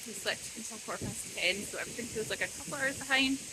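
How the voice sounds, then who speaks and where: A woman speaks at a very fast pace in a Scottish accent. Noticeable background noise can be heard. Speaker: vlogger. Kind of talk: casual vlog talk to camera. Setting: outdoors walking with a buggy.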